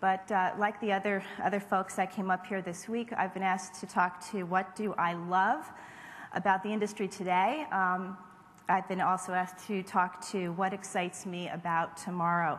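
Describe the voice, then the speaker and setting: A woman speaks at a moderate pace in a somewhat breathy, medium-pitched voice. Her intonation is flat and monotone. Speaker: marketing executive. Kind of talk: award acceptance speech. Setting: stage with audience. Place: hall. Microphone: podium.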